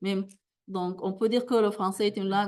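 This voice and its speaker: This is a woman talking. She speaks at a medium pitch. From Sudan. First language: a Sudanese language (speaking French). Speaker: academic plenary speaker. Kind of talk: conference Q&A answer. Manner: halting.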